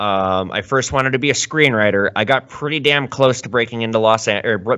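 This man has an unremarkable speaking voice with an American accent. He talks at a fairly quick pace with ordinary pitch variation. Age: 30s. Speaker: gold and silver dealer. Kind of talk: casual interview chat. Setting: video call.

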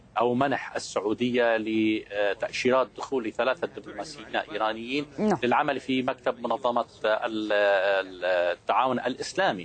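A man with a Lebanese accent, medium in pitch, ordinary pitch variation, very even loudness and hardly any pauses. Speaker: political analyst. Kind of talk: heated debate. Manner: animated.

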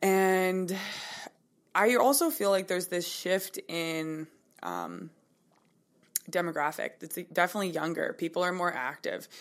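A woman's fairly low voice at a fairly slow pace, with long, frequent pauses and ordinary pitch variation, on a very clean recording with a silent background. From Kelowna, British Columbia, Canada. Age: 20s. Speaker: personal trainer and yoga instructor. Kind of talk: interview.

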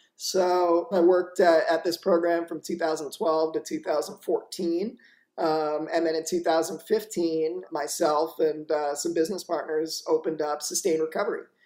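Speaking with an American accent, a high-pitched man talks at a fairly slow pace in a monotone, flat intonation with hardly any pauses. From Florida (Boca Raton). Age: 30s. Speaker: addiction treatment program founder. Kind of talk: interview.

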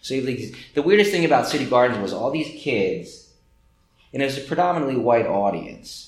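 A man with a New Jersey accent talks with lively intonation. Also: fairly high pitch for a man, moderate pace. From New Jersey, Trenton. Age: 50s. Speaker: gallery owner. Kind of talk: casual chat.

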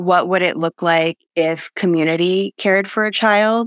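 A woman's fairly low-pitched, ordinary speaking voice with ordinary pitch variation, on a very clean recording with a silent background. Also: dry, close sound with no echo. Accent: American. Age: 30s. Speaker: book reviewer. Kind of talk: casual chat.

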